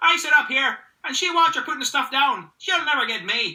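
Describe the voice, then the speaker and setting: In a put-on character voice, the speaker talks at a moderate pace with a high, shrill pitch. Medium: read story.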